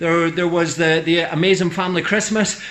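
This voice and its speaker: Over audible room echo and noticeable background noise, a man talks at a fairly quick pace in a monotone, flat intonation. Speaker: vlogger, cyclist. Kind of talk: casual vlog monologue. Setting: garage. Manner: fast.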